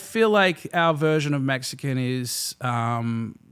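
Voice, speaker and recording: In an Australian accent, a man talks at a very slow pace with lively intonation on a very clean recording with a silent background. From Australia, Melbourne. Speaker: restaurant and nightlife entrepreneur. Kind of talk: podcast interview. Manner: casual, hesitant with fillers.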